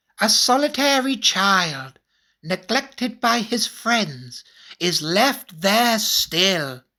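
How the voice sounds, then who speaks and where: A female-sounding put-on character voice, pitched fairly high, speaks very slowly. The recording is very clean, with a silent background. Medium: read story. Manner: calm, measured.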